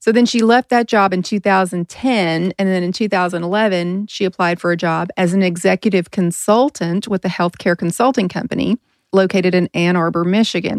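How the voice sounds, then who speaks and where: In an unremarkable speaking voice of medium pitch, a woman talks at a fairly quick pace with hardly any pauses and fairly even intonation, in a dry, close sound with no echo. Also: very clean recording, silent background. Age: 40s. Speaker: podcast host and nurse. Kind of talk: casual chat.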